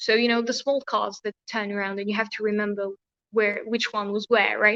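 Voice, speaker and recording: A woman speaks with a bright, sharp tone at a fairly high pitch. Her intonation stays fairly even, and the sound is dry and close with no echo. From France or Tunisia. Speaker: educator and school founder. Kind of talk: video chat, advice talk. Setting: virtual session.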